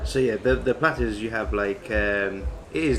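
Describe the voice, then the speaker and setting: Noticeable background noise sits behind a man with a fairly low voice. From England, Cambridge. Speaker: food vlogger. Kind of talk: casual chat. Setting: pub.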